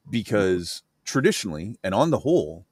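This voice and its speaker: At a moderate pace, a man speaks with vocal fry in a dry, close sound with no echo. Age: 40s. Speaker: livestream host. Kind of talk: casual chat.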